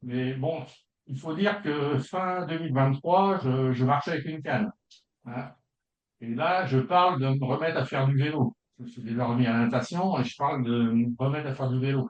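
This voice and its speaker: Fairly high-pitched for a man, this man has an unremarkable speaking voice, a moderate pace and ordinary pitch variation. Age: 60s. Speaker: consumer giving a testimonial, retired school educator. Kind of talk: testimony. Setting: video call.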